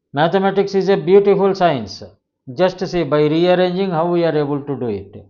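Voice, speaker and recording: Audible room echo surrounds a man speaking in a high pitch with ordinary pitch variation. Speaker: math teacher. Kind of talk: lecture.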